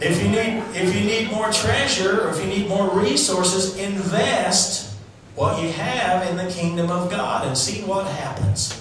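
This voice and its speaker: A man with a high pitch talks at a fairly slow pace with ordinary pitch variation, amid strong room echo and light background noise. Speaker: preacher. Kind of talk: sermon to a live congregation. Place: church.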